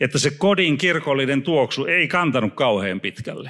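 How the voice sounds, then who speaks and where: Over a quiet background, the speaker uses lively intonation at a moderate pace. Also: man. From Finland. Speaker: preacher. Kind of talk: sermon. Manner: halting. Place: church. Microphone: handheld.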